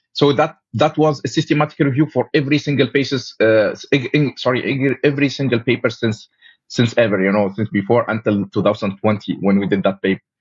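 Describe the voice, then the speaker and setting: Talking at a fairly quick pace with hardly any pauses, a man with an Arabic accent uses a medium, somewhat breathy voice and ordinary pitch variation. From Tunisia. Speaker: paramedic and researcher. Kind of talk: interview conversation. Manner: halting, frequent fillers and self-corrections.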